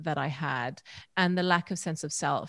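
A woman's fairly low, plain, everyday voice at a moderate pace, on a very clean recording with a silent background. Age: 40s. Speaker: holistic counselor and breathwork facilitator. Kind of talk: casual chat.

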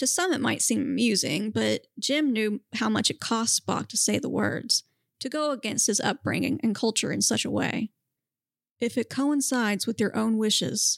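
A woman speaks at a fairly high pitch and a moderate pace, with vocal fry and ordinary pitch variation. Her loudness stays very even, and the sound is dry and close with no echo in a very clean recording over a silent background. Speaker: podcast co-host. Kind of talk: casual chat and reading fan fiction aloud.

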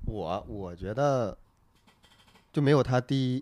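A dark, mellow tone with ordinary pitch variation. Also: man. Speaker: stand-up comedian. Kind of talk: casual chat about comedy.

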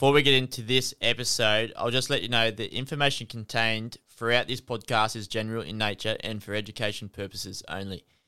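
Speaking very fast with hardly any pauses, a man with an Australian accent uses a medium pitch, fairly even intonation, and a bright, sharp tone. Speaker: podcast host. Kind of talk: scripted intro and disclaimer; casual interview chat.

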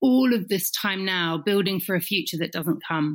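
An ordinary speaking voice from a woman at a medium pitch, moderate in pace, with lively intonation. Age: 40s. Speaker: talent manager and coach. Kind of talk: casual chat.

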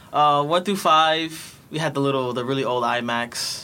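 A man with an American accent speaks at a medium pitch and a moderate pace, his bright, sharp tone held to fairly even intonation. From New York City, Bronx. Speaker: former youth tech program participant. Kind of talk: casual chat.

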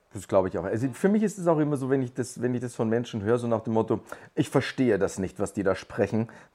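Very fast and with a Bavarian accent, a man speaks at a medium pitch in a dark, mellow tone. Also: ordinary pitch variation. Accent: Bavarian dialect speaker. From Lower Bavaria, Germany. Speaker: podcast guest. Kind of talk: casual chat.

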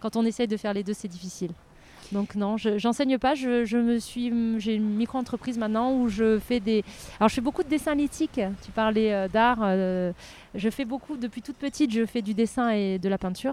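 A woman speaks at a fairly high pitch and a fairly quick pace. Her pitch varies in an ordinary way. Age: 40s. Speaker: archaeologist. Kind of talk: interview conversation. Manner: animated.

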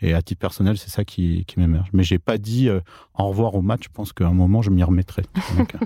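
A man talks at a fairly quick pace with a very deep, low pitch. His dark, mellow tone comes through in dry, close sound with no echo. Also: very clean recording, silent background. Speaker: author and mathematician. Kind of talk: interview. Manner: halting.

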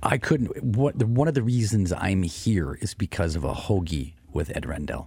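With noticeable background noise, a man in an American accent speaks at a moderate pace in a fairly low voice that swings very widely in pitch. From US small town. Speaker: coffee company CEO. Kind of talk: radio interview. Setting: studio.

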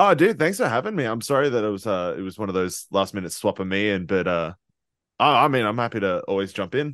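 A voice with an Australian accent runs at a very fast pace with lively intonation. The background is quiet. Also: man, fairly low pitch for a man. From Queensland, Australia. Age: 20s. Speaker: metal band musician. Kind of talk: casual interview.

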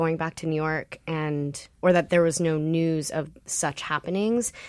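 A woman with an American accent, fairly low in pitch and fairly even in intonation, on a very clean recording with a silent background. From Los Angeles, US. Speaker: stage actor. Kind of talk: casual interview chat.

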